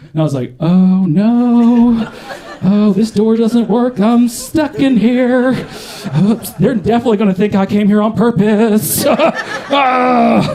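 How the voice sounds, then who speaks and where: Speaking very slowly, a man with an American accent has a high pitch and ordinary pitch variation. Noticeable background noise runs under the recording. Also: very even loudness. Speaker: stand-up comedian. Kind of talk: live stand-up comedy set.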